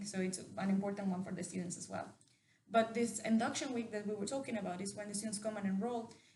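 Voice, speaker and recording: A woman with a Mexican accent speaks at a very fast pace and medium pitch. Her intonation is fairly even, with audible room echo. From Mexico. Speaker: university representative. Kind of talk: interview.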